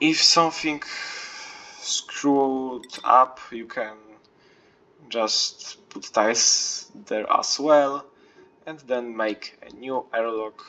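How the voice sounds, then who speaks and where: Speaking at a very slow pace with long, frequent pauses, a man swings widely in loudness over noticeable background noise. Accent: non-native. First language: not English. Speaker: video game player. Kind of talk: game tutorial walkthrough. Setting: low-quality home recording. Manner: hesitant, many fillers.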